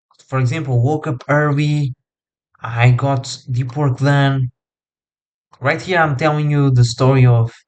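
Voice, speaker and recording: A man with a non-native accent talks at a fairly high pitch and a fairly slow pace. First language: not English. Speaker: coach. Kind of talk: tutorial. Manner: casual, filler-heavy.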